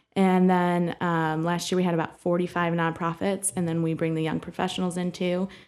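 Using monotone, flat intonation, a woman with a Midwestern American accent speaks at a moderate pace in a fairly low pitch. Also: very clean recording, silent background. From Bowling Green, Ohio. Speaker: director of a young professionals networking group. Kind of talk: interview.

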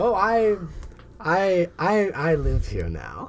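A man's put-on character voice, high-pitched, slow, with very wide pitch swings

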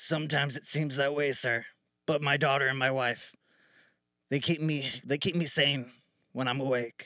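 A man puts on a raspy character voice with a fairly high pitch and monotone, flat intonation. He goes at a moderate pace with long, frequent pauses, on a very clean recording with a silent background. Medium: actual play. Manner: deferential, keeps saying sir; earnest, a bit anxious.

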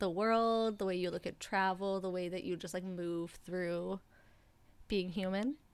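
This is a plain, everyday voice with ordinary pitch variation. The recording is very clean, with a silent background. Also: woman. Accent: Canadian. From Ontario, Canada. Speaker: podcast host, singer-songwriter. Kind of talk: casual interview chat.

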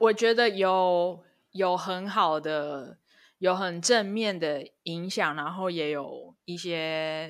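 A woman's fairly low voice with ordinary pitch variation and a very slow pace. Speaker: podcast co-host. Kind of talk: casual chat.

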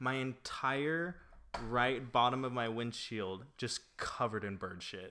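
A man speaks at medium pitch with a bright, sharp tone and ordinary pitch variation. His pace is fairly slow, and the recording is very clean with a silent background. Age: 20s. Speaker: podcast co-host. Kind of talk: casual chat. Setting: apartment.

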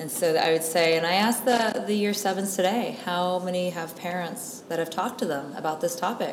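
A woman with an American accent speaks at a fairly quick pace with hardly any pauses, her medium pitch showing ordinary variation, over noticeable background noise. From United States. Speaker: drug prevention specialist and school counselor. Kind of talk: interview. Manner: articulate, fluent.

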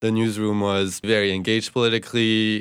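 A man with a French accent at a moderate pace. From France, Bordeaux. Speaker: journalism student, podcast co-host. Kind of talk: casual chat.

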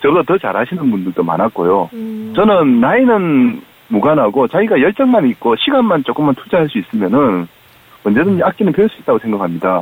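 Noticeable background noise surrounds a man speaking with a Busan accent. He keeps a moderate pace, with very wide swings in pitch. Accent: Gyeongsang (Busan) dialect. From Busan, South Korea. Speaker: amateur band club leader. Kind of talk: phone interview. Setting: phone call.

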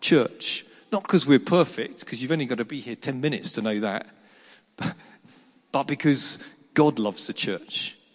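Long, frequent pauses break up this man's speech. His pitch is fairly high and his intonation lively. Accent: English. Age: 50s. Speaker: pastor. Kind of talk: sermon.

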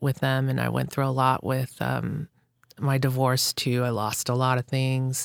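In a very clean recording with a silent background and a dry, close sound with no echo, a woman speaks at a fairly slow pace in a very deep, low pitch. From Hawaii. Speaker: makeup artist. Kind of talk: casual chat.

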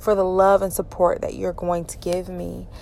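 A woman with a Southern US accent. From Georgia, US South. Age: 30s. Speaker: podcaster. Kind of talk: personal monologue. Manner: halting, many fillers.

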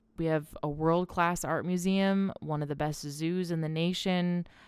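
In a very clean recording with a silent background, a woman talks at a fairly slow pace in a fairly low pitch. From northwest Ohio (Swanton, near Toledo). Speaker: podcast host. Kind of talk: casual monologue. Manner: informal.

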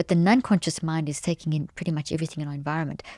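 A woman speaks in a dark, mellow tone at a fairly low pitch, recorded very cleanly against a silent background. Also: dry, close sound with no echo. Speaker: cognitive neuroscientist and author. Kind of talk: interview conversation. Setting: in-person studio.

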